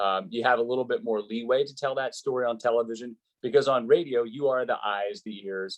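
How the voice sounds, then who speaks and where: Fairly quick, medium-pitched speech from a man with an unremarkable speaking voice and ordinary pitch variation. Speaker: college hockey and baseball play-by-play announcer. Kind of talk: interview answer.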